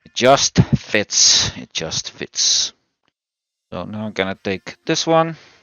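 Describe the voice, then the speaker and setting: With a Dutch accent, a man speaks at a fairly low pitch. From Netherlands. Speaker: sim racing YouTuber. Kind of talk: unboxing and assembly tutorial. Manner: casual, hesitant with fillers.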